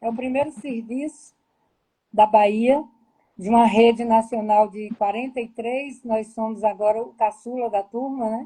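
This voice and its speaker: At a fairly slow pace, a woman speaks in a fairly high pitch with a dark, mellow tone, somewhat breathy, in flat, monotone intonation with big swings in loudness. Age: 60s. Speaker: public health manager. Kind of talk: live-stream interview.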